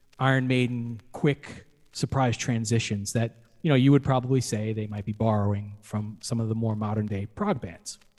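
A man with a medium-pitched voice talks at a moderate pace with fairly even intonation in an unremarkable speaking voice. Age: 40s. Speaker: podcast host. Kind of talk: casual chat.

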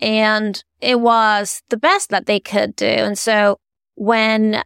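The voice carries a Spanish accent. The sound is dry and close with no echo, on a very clean recording with a silent background. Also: woman. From Venezuela. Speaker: art advisor and author. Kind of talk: interview.

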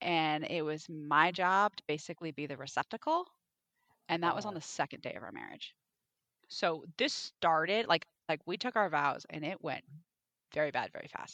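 A woman with a fairly low pitch and a bright, sharp tone speaks at a moderate pace, with ordinary pitch variation and big swings in loudness. She leaves long, frequent pauses, and the sound is dry and close with no echo. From Alaska. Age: 40s. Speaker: romance author. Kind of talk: casual chat.

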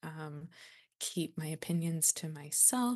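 A very slow woman's voice in an American accent, very deep and low in pitch, over a quiet background. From US South (Memphis, Tennessee). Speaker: poet. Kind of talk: interview conversation.

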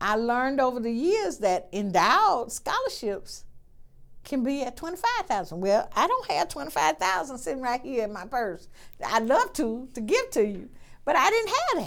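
A woman with an Alabama accent talks at a moderate pace in a high voice, her pitch swinging very widely. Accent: US Southern (Alabama). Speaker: nursing school dean. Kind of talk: interview.

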